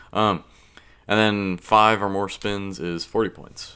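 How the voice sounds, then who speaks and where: The man here speaks at a fairly slow pace. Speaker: gaming YouTuber. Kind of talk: tutorial. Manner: casual, filler-heavy.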